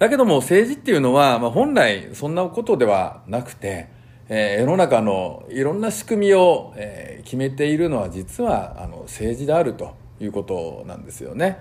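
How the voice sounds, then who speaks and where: At a moderate pace, the voice makes very wide pitch swings along with big swings in loudness. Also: man, medium pitch for a man. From Japan, Nagoya. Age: 50s. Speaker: politician. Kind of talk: political talk show monologue. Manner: many fillers, hesitant; polite formal.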